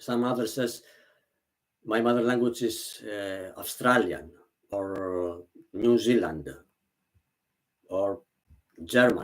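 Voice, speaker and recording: A man with a Greek accent speaks at a very slow pace with long, frequent pauses. His pitch is fairly low with ordinary variation. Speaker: vlogger. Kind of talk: casual monologue. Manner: halting.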